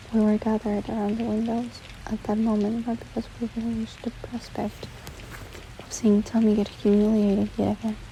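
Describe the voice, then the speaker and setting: Soft-spoken and fairly high in pitch, a woman talks at a moderate pace in a monotone, flat intonation against noticeable background noise. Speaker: ASMR book reader. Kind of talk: audiobook reading.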